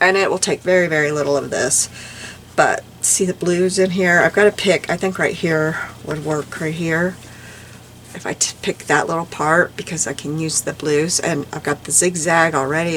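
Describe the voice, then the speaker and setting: Through noticeable background noise, a woman talks at a moderate pace and a fairly low pitch. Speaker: crafting YouTuber. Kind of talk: casual craft tutorial. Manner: animated.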